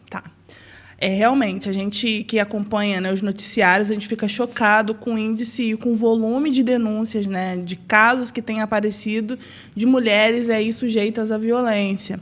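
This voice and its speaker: This woman's moderate-paced speech has monotone, flat intonation. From Rio de Janeiro state, Brazil (Nova Friburgo). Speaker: city councillor. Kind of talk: interview.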